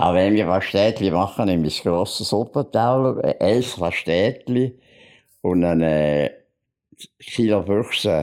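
A man with a Bernese accent speaks at a very slow pace in a fairly low voice with ordinary pitch variation. The recording is very clean with a silent background, and his loudness stays very even. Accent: Bernese Swiss German. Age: 80s+. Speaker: author and painter. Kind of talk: casual chat. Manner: halting.

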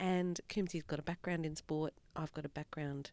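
A woman with an Australian accent speaks at a moderate pace in a very deep, low pitch with vocal fry. The sound is dry and close, with no echo. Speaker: podcast host, doctor. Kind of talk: scripted intro; casual chat.

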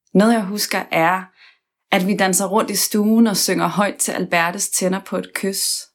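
A woman's fairly slow speech in a monotone, flat intonation. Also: medium pitch for a woman, very clean recording, silent background. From West Jutland, Denmark. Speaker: podcast host. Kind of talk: personal narration.

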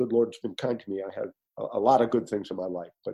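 This man has a normal speaking voice at a medium pitch. He talks with an American accent and ordinary pitch variation. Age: 60s. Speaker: coffee company founder. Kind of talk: interview.

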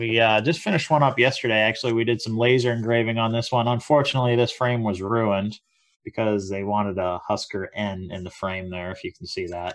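A man speaks at a very fast pace and a medium pitch. His pitch variation is ordinary, and the background is quiet. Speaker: podcast co-host and business owner. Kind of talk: casual chat. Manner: low-energy.

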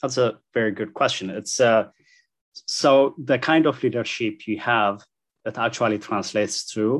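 Against a quiet background, a man speaks with an Ethiopian accent. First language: Amharic. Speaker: engineer and church translator. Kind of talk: interview.

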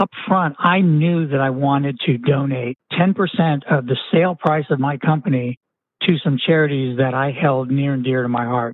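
Here is a man with a plain, everyday voice, pitched fairly high. He speaks at a moderate pace with ordinary pitch variation. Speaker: retired entrepreneur and physician. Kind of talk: interview.

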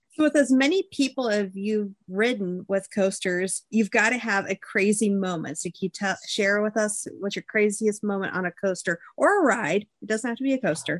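A woman speaks in a plain, everyday voice at a medium pitch, with ordinary pitch variation and a moderate pace. The sound is dry and close with no echo, and she hardly pauses. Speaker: podcast correspondent interviewer. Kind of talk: warm interviewer, friendly intros.

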